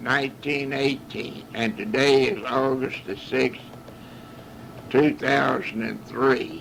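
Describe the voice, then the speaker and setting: A man with a Southern US accent speaks at a very slow pace and a fairly high pitch, with ordinary pitch variation and noticeable background noise. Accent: Southern US rural. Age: 80s+. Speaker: war veteran. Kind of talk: oral history recording. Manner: halting.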